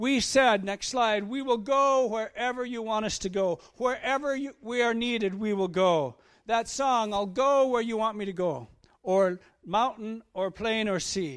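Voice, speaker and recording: A man with a high voice and ordinary pitch variation speaks at a fairly slow pace in a very clean recording with a silent background. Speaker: missionary. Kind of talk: sermon. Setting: church. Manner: halting.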